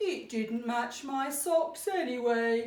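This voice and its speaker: A woman's high-pitched put-on character voice at a very slow pace, with slight echo. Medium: read story. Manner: cheerful.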